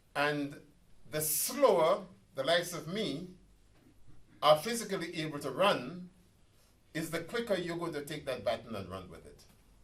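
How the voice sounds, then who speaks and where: The speaker uses lively intonation and vocal fry at a moderate pace, with long, frequent pauses. Loudness swings a lot, and room echo is audible. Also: man, fairly high pitch for a man. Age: 70s. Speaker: professor and activist. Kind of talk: public talk. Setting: community centre meeting with audience. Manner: animated.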